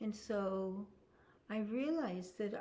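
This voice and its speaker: This woman has a medium pitch and a dark, mellow tone that is somewhat breathy. She talks at a very slow pace. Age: 70s. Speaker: spiritual teacher. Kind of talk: spiritual talk.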